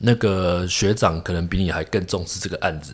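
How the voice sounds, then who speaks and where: In a very clean recording with a silent background, a man speaks at a moderate pace with a very deep, low pitch. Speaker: traditional Chinese medicine doctor. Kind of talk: interview conversation. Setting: clinic.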